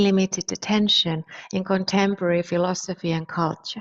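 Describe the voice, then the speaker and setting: A Finnish accent at a moderate pace. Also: woman. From Finland. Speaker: philosopher. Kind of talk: lecture. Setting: online conference.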